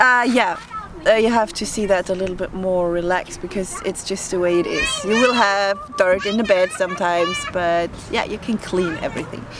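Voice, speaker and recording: A woman with a German accent speaks at a moderate pace over noticeable background noise. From Germany. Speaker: vlogger. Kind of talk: casual chat. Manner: hesitant.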